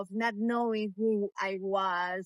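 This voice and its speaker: A woman speaks with a Latin American accent. The sound is dry and close, with no echo. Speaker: meditation teacher. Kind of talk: casual interview chat. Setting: outdoors, walking in the street. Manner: halting, many fillers and repetitions.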